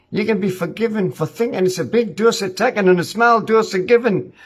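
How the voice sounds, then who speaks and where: The voice has an angry tone and moves at a fairly quick pace. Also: man. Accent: Northumbrian. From Ashington, Northumberland. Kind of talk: spoken-word poem, rhyming rant. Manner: angry, blunt, colloquial.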